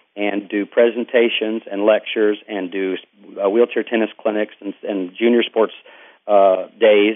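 A man with an East Texas accent talks at a fairly quick pace. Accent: East Texas Southern US. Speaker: Paralympic athlete and motivational speaker. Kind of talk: interview. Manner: halting.

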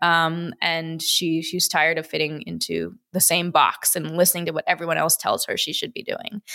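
Speaking in an American accent at a moderate pace, a woman talks with hardly any pauses. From US Midwest, Wisconsin and Chicago. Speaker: entrepreneur, investor and former gymnast. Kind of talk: interview conversation.

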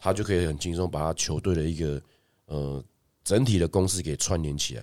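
A man is speaking. His pace is fairly quick. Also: very clean recording, silent background. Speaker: basketball coach and podcast co-host. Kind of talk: casual chat.

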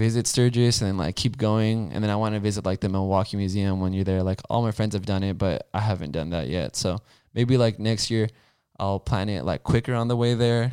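A man speaks at a fairly low pitch and a fairly quick pace with ordinary pitch variation, in a very clean recording with a silent background. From Southern California (Downey, Los Angeles area). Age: 20s. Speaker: motorcycle rider. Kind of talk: casual chat.

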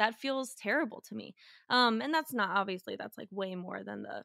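A woman's bright, sharp tone and lively intonation come through in a dry, close sound with no echo. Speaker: sports writer and podcaster. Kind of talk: casual interview chat. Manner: fast talker.

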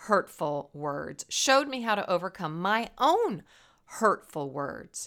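Simply a natural reading voice

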